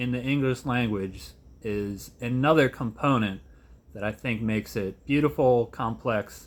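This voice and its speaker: A man speaks with an American accent. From Philadelphia area, US. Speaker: high school English teacher and vlogger. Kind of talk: casual vlog monologue. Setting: at home.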